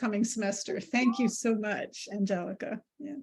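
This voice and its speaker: On a very clean recording with a silent background, a woman uses an ordinary speaking voice, fairly high in pitch, with fairly even intonation at a moderate pace. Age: 60s. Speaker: teacher. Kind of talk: casual chat.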